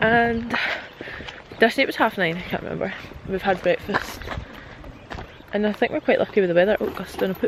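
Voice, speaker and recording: A woman with a Scottish accent at a fairly quick pace, with long, frequent pauses, medium pitch, ordinary pitch variation, and noticeable background noise. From Scotland. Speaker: travel vlogger. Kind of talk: casual talk to camera.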